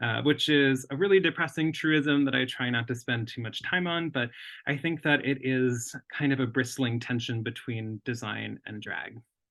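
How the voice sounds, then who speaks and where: A man with an American accent speaks at a moderate pace and medium pitch, with ordinary pitch variation and hardly any pauses. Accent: Minnesota accent when nervous. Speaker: lettering artist and designer. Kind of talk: lecture.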